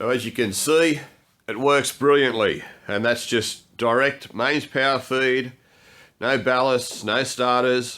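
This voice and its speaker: A man with an Australian accent at a very slow pace, medium in pitch, his intonation fairly even. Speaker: DIY workshop video maker. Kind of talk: tutorial.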